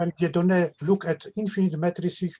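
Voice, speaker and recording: The voice has a dark, mellow tone and a Polish accent. Intonation is fairly even, and the sound is dry and close with no echo. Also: man. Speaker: mathematician. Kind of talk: academic Q&A. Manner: halting.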